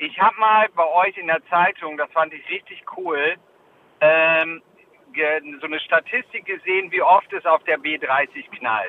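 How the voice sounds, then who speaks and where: Here a man with a high pitch talks at a fairly slow pace. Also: ordinary pitch variation. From northern Germany (Jever, Friesland). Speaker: podcast co-host. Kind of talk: casual chat. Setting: phone call.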